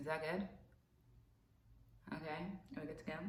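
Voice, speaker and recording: A woman is speaking. Room echo is audible. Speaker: vlogger. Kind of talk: casual vlog monologue. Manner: animated.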